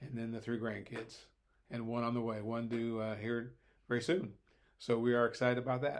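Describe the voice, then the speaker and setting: A man with an Ohio accent, medium in pitch, at a fairly quick pace with long, frequent pauses and monotone, flat intonation. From Ohio, Hamilton. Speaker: Bible and history teacher. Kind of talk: casual chat. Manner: hesitant, many filler words.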